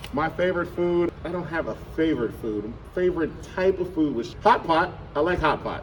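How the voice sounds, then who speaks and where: Loud and high-pitched, a man speaks with lively intonation over noticeable background noise. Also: moderate pace. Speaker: middle school teacher. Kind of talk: casual interview.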